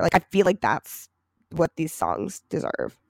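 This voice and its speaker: Recorded very cleanly with a silent background and a dry, close sound without echo, a woman with an American accent and vocal fry speaks at a moderate pace. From Michigan, US. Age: 20s. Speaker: podcast co-host, college student. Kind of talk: casual chat.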